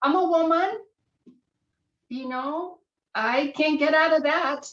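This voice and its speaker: Using a raised, projected voice that is bright and sharp in tone, a woman with a high pitch speaks at a very slow pace with ordinary pitch variation. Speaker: professor and scientist. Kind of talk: workshop presentation. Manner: halting, repeats words.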